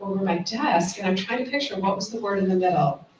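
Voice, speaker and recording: Amid noticeable background noise, a woman speaks at a moderate pace with a medium pitch and ordinary pitch variation. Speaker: gynecologist. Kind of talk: casual chat.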